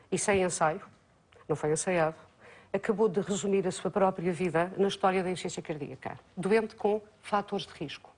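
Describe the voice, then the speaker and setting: Fairly quick delivery in a plain, everyday voice, the pitch varying in an ordinary way. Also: woman. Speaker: cardiologist and professor. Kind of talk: educational medical talk.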